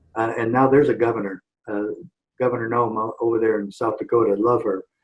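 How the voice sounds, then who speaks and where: The delivery is very fast, with monotone, flat intonation. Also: man, medium pitch for a man. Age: 60s. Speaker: former sheriff and activist. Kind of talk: interview.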